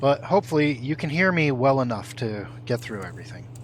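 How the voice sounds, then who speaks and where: A soft-spoken man talks at a medium pitch and a moderate pace. His pitch varies in an ordinary way. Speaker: gaming streamer. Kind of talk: live gameplay stream.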